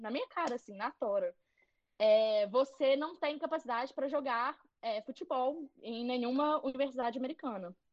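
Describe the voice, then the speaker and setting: A woman with a Minas Gerais accent speaks at a moderate pace in a high pitch. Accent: Mineiro Brazilian Portuguese. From Belo Horizonte, Brazil. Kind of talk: casual interview chat. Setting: video call, livestream.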